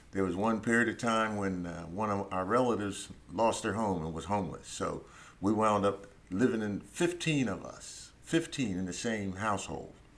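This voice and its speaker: A man with an American accent and a fairly low pitch, with audible room echo. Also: ordinary pitch variation, moderate pace. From US, Philadelphia. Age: 70s. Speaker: Vietnam War veteran and lawyer. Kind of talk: interview. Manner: halting, many fillers.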